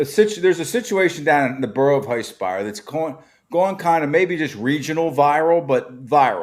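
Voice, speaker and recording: A man's fairly quick, lively-toned speech with an American accent and a fairly high pitch, an unremarkable speaking voice. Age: 50s. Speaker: podcast host. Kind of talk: casual podcast chat.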